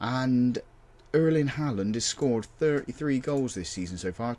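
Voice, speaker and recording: A man speaks in an English accent. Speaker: football manager gaming youtuber. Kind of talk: gameplay commentary. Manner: casual, halting with fillers.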